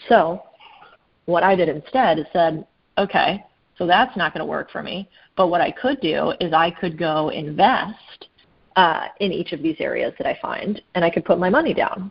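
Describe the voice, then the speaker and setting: Fairly low in pitch, a woman with an American accent speaks at a moderate pace in a plain, everyday voice. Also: ordinary pitch variation. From US Southwest, Phoenix, Arizona. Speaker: private equity investor. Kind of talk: casual interview.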